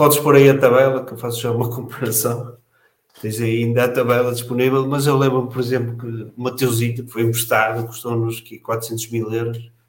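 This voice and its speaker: A man speaks in a monotone, flat intonation while his loudness swings widely. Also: medium pitch for a man, moderate pace. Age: 40s. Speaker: football fan panelist. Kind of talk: casual panel discussion.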